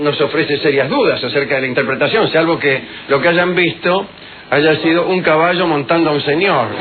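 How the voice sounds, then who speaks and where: A man speaks at a moderate pace with an Argentine accent, his pitch fairly high for a man. His pitch varies in an ordinary way, and there is noticeable background noise. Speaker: radio host. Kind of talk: humorous radio monologue. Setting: radio studio.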